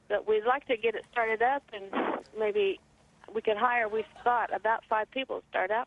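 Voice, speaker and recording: Her voice is a plain, everyday voice, a woman's, fairly high in pitch, with fairly even intonation at a moderate pace. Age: 60s. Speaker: caller. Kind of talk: call-in question. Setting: phone call.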